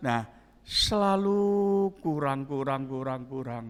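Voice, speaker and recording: A man speaks at a fairly slow pace, his pitch swinging very widely. The recording is very clean with a silent background. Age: 70s. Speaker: pastor. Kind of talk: sermon.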